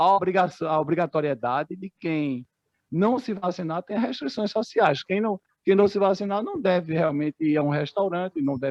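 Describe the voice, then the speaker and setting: With lively intonation, a man speaks in a high-pitched voice. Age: 60s. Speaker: bank employee and activist. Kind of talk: meeting discussion contribution. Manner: halting.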